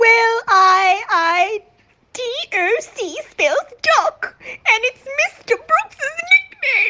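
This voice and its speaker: A woman's put-on character voice, extremely high-pitched and very slow, with lively intonation and big swings in loudness. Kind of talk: radio drama acting.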